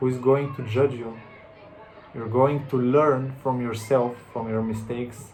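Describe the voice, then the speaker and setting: Against audible room echo and noticeable background noise, a man with a non-native accent speaks at a medium pitch and a fairly slow pace, his intonation monotone and flat. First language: not English. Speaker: self-help vlogger. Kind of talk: motivational monologue. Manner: halting, with repetitions and restarts.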